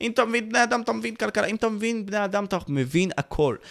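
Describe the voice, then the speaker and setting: A man talks at a very fast pace. His tone is animated and his intonation lively. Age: young. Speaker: youtuber and podcast host. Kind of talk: live stream Q&A.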